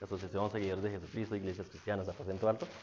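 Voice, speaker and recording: This man talks in an animated tone. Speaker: guest preacher. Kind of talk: sermon. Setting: church service. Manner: fast.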